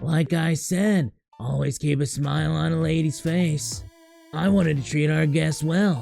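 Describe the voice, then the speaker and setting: Over faint background music, a man performs a put-on character voice at a fairly high pitch and a moderate pace. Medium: virtual streamer. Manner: overly polite, flattering.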